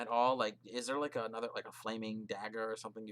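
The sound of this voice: An unforced reading voice delivers the words with fairly even intonation.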